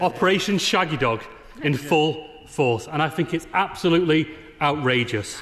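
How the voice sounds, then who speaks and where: A man with a northern English accent and lively intonation, over light background noise. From Northern England. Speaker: politician. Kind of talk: parliamentary speech. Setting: debating chamber with echo. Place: hall. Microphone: podium.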